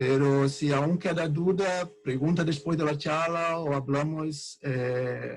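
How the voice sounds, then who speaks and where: A man talks at a very slow pace. He has a Portuguese accent. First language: Portuguese (speaking Spanish). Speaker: researcher. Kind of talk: lecture. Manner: halting.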